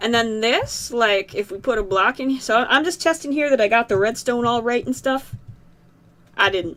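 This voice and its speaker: The speaker is a woman with a slight Southern US accent. Her pitch sits fairly high. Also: ordinary pitch variation, moderate pace. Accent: slight southern US tinge. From Massachusetts, US. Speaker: gaming YouTuber. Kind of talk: let's play commentary. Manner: hesitant, many fillers and repeats.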